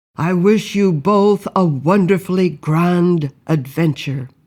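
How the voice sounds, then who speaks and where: This put-on character voice sits at a middle pitch and moves at a fairly slow pace. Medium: read story. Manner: courteous, formal.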